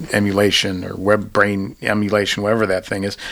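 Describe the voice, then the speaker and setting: A man speaks at a fairly low pitch. Noticeable background noise runs under his voice. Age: 50s. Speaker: podcast host and political science professor. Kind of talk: academic interview.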